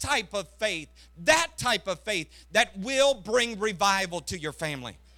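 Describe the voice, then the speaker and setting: A man uses a raised, projected voice with a bright, sharp tone, a high pitch and very wide pitch swings, speaking at a fairly slow pace. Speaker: missionary preacher. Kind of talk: Pentecostal revival sermon, rising exhortation with congregational call-and-response. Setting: church service with congregation. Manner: impassioned, repetitive hammering cadence building to climaxes.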